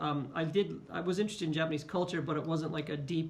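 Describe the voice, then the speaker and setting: Speaking with an American accent, a man has a fairly high pitch and monotone, flat intonation. Audible room echo and noticeable background noise fill the recording. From California, US West Coast. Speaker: teacher. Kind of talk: interview.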